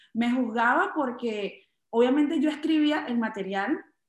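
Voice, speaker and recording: A woman's plain, everyday voice, fairly high in pitch, with lively intonation at a moderate pace. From Venezuela, Guárico state (Chaguaramas). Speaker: comedian. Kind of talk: interview conversation.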